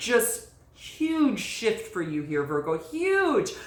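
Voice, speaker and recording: Very wide pitch swings from a woman, amid noticeable background noise and audible room echo. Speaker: tarot reader. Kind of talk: tarot reading monologue. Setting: by candlelight. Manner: speaking low; halting, many fillers.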